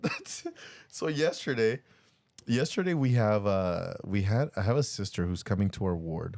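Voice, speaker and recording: At a moderate pace, a man with a medium pitch makes very wide pitch swings, and the sound is dry and close with no echo. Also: very clean recording, silent background. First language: not English. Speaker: podcast co-host and church bishop. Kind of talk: casual chat. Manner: halting.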